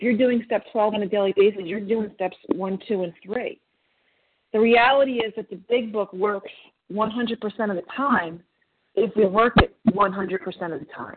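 A woman speaks in a plain, everyday voice at a fairly high pitch. Her pace is fairly slow and her pitch variation ordinary. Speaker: twelve-step group member. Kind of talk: testimony.

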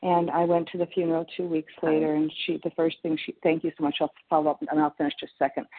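A woman's very deep, low voice in an American accent, at a fairly quick pace with monotone, flat intonation. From Minnesota. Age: 60s. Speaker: twelve-step meeting member. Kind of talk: sharing in a support group.

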